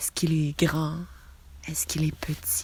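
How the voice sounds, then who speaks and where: A soft-spoken, somewhat breathy woman with a calm tone and monotone, flat intonation. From Quebec. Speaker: meditation guide. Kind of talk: guided relaxation visualisation. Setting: outdoors, birds audible. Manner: soft, calm.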